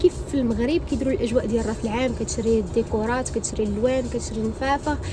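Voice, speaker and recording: Words rush out very quickly while clear background noise runs underneath. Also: woman. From Morocco. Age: 20s. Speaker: vlogger. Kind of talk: casual vlog talk.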